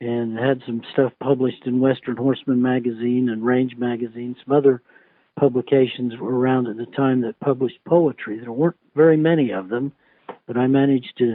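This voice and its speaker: A man speaks in a plain, everyday voice with an American accent. His medium-pitched delivery is moderately paced with fairly even intonation. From Utah, USA. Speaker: cowboy poet. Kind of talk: interview answer.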